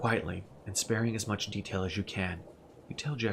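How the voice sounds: Natural reading with fairly level intonation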